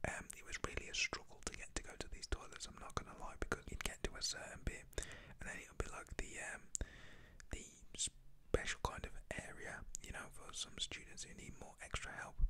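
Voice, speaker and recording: Someone whispers at a fairly quick pace in a British accent. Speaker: ASMR YouTuber storyteller. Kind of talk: whispered ASMR storytime. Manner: soft-spoken, whispery.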